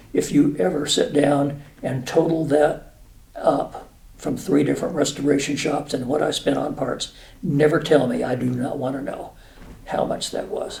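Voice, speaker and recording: Vocal fry marks a man's fairly high voice as he talks at a moderate pace with fairly even intonation. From New Mexico. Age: 70s. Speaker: retired air force officer. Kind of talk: casual interview. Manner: halting, many fillers.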